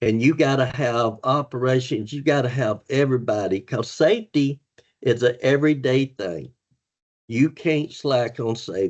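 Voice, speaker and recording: An ordinary speaking voice with ordinary pitch variation. The pace is moderate. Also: man, medium pitch for a man. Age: 60s. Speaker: former truck driver turned safety manager. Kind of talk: podcast interview.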